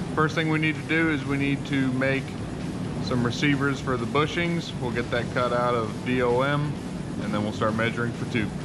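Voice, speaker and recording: Music plays behind a man talking at a moderate pace. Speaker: fabricator hosting a build channel. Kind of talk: casual vlog chat. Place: workshop. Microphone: phone near.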